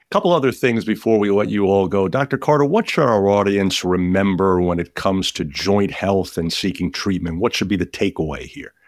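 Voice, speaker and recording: Over a quiet background, a man uses an ordinary speaking voice at a fairly low pitch. He speaks at a fairly quick pace with ordinary pitch variation and hardly any pauses. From New York (Brooklyn). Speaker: podcast host. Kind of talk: interview.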